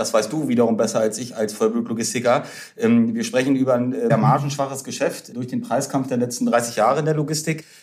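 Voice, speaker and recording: With an unremarkable speaking voice, a man talks at a fairly quick pace at medium pitch, the pitch varying in an ordinary way. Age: 30s. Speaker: startup founder and investor. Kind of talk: podcast interview.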